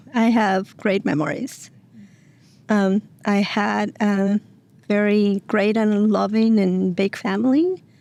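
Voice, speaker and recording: A woman with a Mexican accent speaks at a very slow pace, her medium pitch showing ordinary variation. Her tone is dark and mellow. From Mexico. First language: Spanish. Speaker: single mom, nonprofit staff member. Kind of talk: interview, personal story. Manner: hesitant, many fillers.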